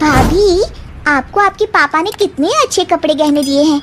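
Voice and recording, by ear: Using a cartoonish character voice with an extremely high pitch, a woman speaks at a fairly slow pace with ordinary pitch variation and very even loudness over clear background noise.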